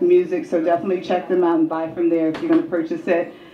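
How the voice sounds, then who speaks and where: This is a woman with a fairly low pitch. Noticeable background noise sits behind her. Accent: American. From Atlanta, US South. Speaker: interviewer and event host. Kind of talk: live event hosting. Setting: stage with audience. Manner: loud; animated.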